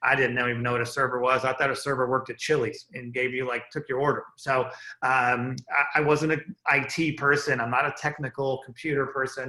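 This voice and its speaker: With a bright, sharp tone and medium pitch, a man speaks in a flat monotone, hardly pausing at all. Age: 50s. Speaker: business entrepreneur and army veteran. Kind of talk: motivational business talk. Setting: group call. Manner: casual, with many fillers.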